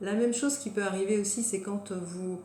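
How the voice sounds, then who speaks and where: There is noticeable background noise and audible room echo. A woman speaks at a moderate pace with ordinary pitch variation. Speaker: wellness coach. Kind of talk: guided self-help talk. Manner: hesitant, many fillers.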